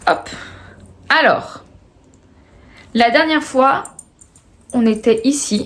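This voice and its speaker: Speech comes at a very slow pace with long, frequent pauses. Pitch variation is ordinary. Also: woman, high pitch for a woman. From France, Haute-Savoie. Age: 20s. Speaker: knitting and sewing video podcaster. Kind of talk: casual video podcast chat. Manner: hesitant, many filler words.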